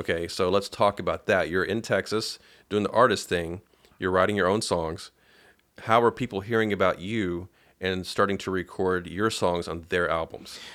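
In a very clean recording with a silent background, a man with a very deep, low pitch speaks at a moderate pace with fairly even intonation. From Paducah, Kentucky. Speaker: podcast host. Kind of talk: interview. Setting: guest's home studio.

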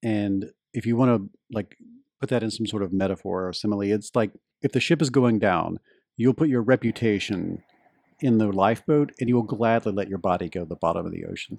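Recorded with a dry, close sound and no echo, a man with a Southern US accent talks at a fairly quick pace in a fairly low voice, with ordinary pitch variation. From US Deep South. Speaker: journalist and podcaster. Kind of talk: interview conversation.

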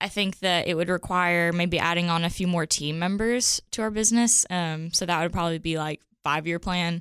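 A woman's plain, everyday voice, fairly low in pitch, at a moderate pace with fairly even intonation and very even loudness, on a very clean recording with a silent background. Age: 20s. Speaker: branding studio co-founder. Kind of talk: interview. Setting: studio.

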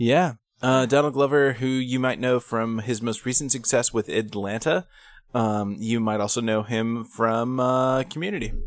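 In a very clean recording with a silent background, a man with a plain, everyday voice speaks at a medium pitch and moderate pace with ordinary pitch variation. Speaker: podcast co-host. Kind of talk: casual chat. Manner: profane, joking.

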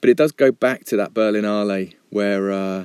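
A man's normal speaking voice, fairly low in pitch with fairly even intonation, in a dry, close sound with no echo on a very clean recording with a silent background. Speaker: filmmaker. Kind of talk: recorded monologue. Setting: homemade voiceover booth in attic.

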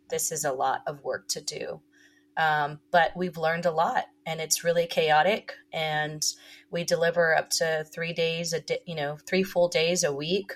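A woman with an American accent speaks at a fairly slow pace, somewhat breathy. Her fairly low voice stays monotone and flat. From Texas (Corpus Christi). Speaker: tequila company co-founder. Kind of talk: interview.

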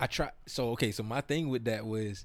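With an American accent, a man speaks in an ordinary speaking voice at a fairly low pitch, a moderate pace and ordinary pitch variation. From South Florida (Broward County). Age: 30s. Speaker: hip-hop artist and entrepreneur. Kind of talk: casual interview chat.

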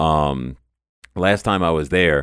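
Very clean recording, silent background, and a man's very deep, low pitch. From New Orleans, Louisiana. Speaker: esports team owner. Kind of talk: interview conversation.

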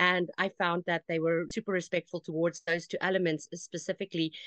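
This woman has an unremarkable speaking voice at a medium pitch, talking at a moderate pace. The sound is dry and close with no echo, over a quiet background. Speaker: social media manager for animal sanctuaries. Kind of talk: casual interview.

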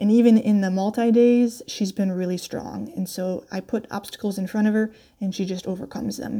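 In a very clean recording with a silent background, a woman of medium pitch speaks at a moderate pace with a dark, mellow tone, a somewhat breathy quality and fairly even intonation. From upstate New York, US. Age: 30s. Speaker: endurance rider. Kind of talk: recorded personal story.

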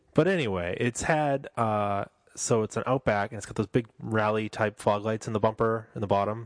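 A man with an unremarkable speaking voice talks at a fairly low pitch and moderate pace with ordinary pitch variation, the sound dry and close with no echo over a quiet background. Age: 30s. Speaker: car podcast host. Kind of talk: casual chat. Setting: home studio.

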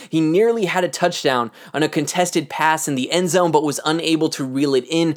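The recording is very clean, with a silent background. The pace is fairly quick. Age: 20s. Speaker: sports podcast host. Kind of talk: solo podcast commentary.

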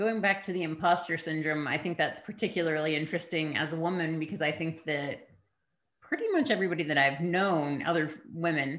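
This is a woman with an unremarkable speaking voice. Her pitch sits fairly low. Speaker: podcast host. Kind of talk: interview conversation. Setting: video interview.

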